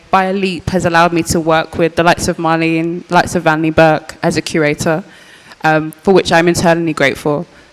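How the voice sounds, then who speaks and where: A woman with a Birmingham accent at a fairly quick pace, monotone and flat in intonation, over noticeable background noise. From English Midlands, Birmingham. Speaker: artist, curator and archivist. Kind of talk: panel discussion. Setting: post-screening panel with audience.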